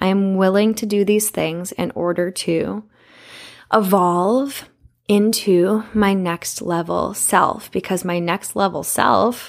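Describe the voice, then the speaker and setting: In a very clean recording with a silent background, a woman speaks in a plain, everyday voice. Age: 20s. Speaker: podcast host. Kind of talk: casual monologue.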